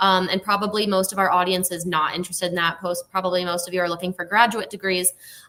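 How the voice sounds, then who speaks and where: A woman's very fast, monotone, flat delivery in an American accent at a medium pitch, with hardly any pauses and noticeable background noise. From United States. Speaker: university recruitment manager. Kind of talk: live webinar presentation. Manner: casual, many filler ums.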